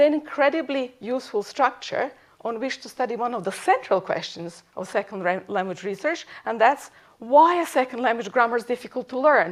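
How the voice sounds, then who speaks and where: The speaker has a slight Serbian accent, lively intonation and a moderate pace. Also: woman. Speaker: professor. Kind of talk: lecture.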